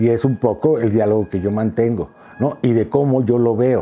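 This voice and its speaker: Light background noise accompanies a man talking at a fairly slow pace. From Mexico City. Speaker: photographer and visual artist; interviewee. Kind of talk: interview monologue; interview answer. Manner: hesitant, many fillers and repetitions. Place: home room. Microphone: lapel.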